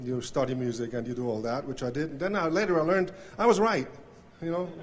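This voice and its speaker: A man with a Swiss German accent talks at a fairly quick pace with ordinary pitch variation. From Switzerland. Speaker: banjo player. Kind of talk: acceptance speech. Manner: halting, many fillers.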